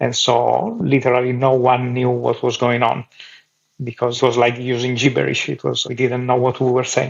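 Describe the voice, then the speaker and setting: A man speaks at a moderate pace in an Italian accent. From Italy. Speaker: clown. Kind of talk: interview.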